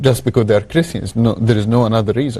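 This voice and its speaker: A man with an Egyptian accent, medium pitch, a dark, mellow tone and ordinary pitch variation. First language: Arabic. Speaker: human rights activist. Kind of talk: testimony interview answer.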